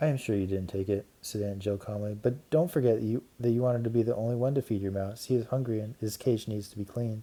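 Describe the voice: The clip is plain reading aloud.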